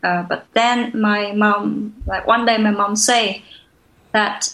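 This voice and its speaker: A woman speaks very slowly with a Vietnamese accent. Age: 20s. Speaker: social entrepreneur. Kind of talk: interview conversation. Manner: halting, many fillers.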